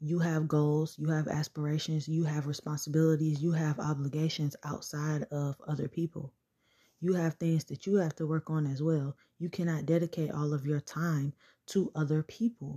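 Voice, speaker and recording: A woman's very deep, low, somewhat breathy voice, dark and mellow in tone, at a moderate pace with fairly even intonation, in a dry, close sound with no echo. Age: 20s. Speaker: podcast host. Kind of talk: casual monologue. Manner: conversational.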